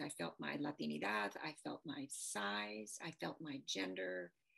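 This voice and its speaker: This woman has a very deep, low pitch and speaks with a Midwestern US accent. Her pace is fairly slow. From US Midwest, Detroit. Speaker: policy advisor. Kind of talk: interview. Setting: video call. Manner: soft-spoken.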